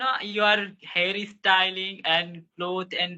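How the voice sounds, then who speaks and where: A man speaks with an Indian accent. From India, Madhya Pradesh. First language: Hindi or regional Indian language. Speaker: English learner. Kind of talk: casual chat. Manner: halting.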